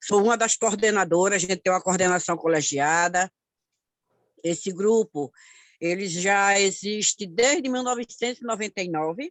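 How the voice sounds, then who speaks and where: Speaking at a moderate pace and a medium pitch, a woman uses lively intonation and leaves long, frequent pauses. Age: 60s. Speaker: community activist. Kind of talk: online course talk.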